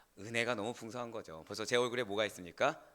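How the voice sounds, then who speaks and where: This man talks at a very fast pace. His tone is bright and sharp. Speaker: senior pastor. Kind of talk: sermon. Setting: church. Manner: animated.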